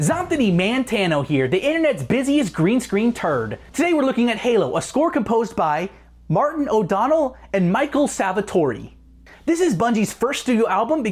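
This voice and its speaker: A put-on character voice, nasal and fairly high-pitched, with very wide pitch swings, a moderate pace and a very clean recording with a silent background. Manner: mocking, exaggerated.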